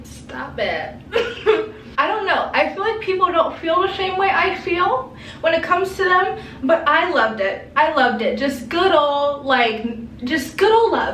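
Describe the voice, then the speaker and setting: Amid noticeable background noise and audible room echo, a woman with an extremely high pitch speaks at a fairly slow pace with very wide pitch swings. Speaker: lifestyle vlogger. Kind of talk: casual chat. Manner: animated.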